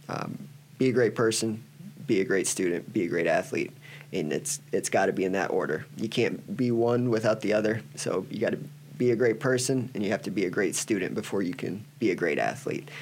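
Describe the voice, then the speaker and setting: The speaker has an American accent and some vocal fry. Delivery is fairly quick, with lively intonation. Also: man, medium pitch for a man. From Iowa, US Midwest. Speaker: college wrestling coach. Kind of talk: interview.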